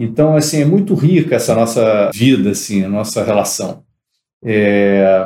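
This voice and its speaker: A man speaks at medium pitch with a dark, mellow tone, lively intonation and very even loudness. His pace is fairly slow, and audible room echo surrounds him. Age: 60s. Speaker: entrepreneur. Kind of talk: interview.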